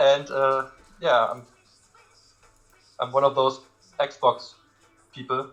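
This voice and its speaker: Speech comes at a very slow pace with long, frequent pauses over music in the background. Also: man. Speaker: gamer, fighting game community organizer. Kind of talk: casual chat. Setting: live stream.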